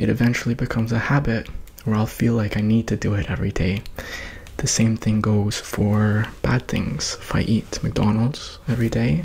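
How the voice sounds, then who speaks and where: A soft-spoken man talks at a moderate pace with very even loudness and ordinary pitch variation. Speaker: ASMR creator. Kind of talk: ASMR personal attention, guided self-reflection. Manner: calm, encouraging. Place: home room. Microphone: studio mic.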